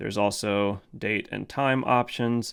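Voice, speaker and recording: On a very clean recording with a silent background, a man has a plain, everyday voice with a medium pitch and fairly even intonation. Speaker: gear reviewer. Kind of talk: product review tutorial. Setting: home studio storage room.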